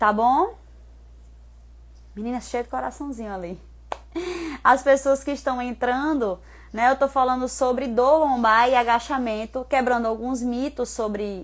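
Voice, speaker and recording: This woman's voice is high-pitched, with fairly even intonation. She talks at a fairly slow pace, with long pauses that come often. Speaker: personal trainer. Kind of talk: live stream talk.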